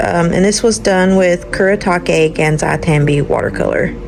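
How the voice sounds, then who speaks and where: Her delivery is fairly slow. Noticeable background noise sits beneath the woman's speech. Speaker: artist. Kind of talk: casual chat.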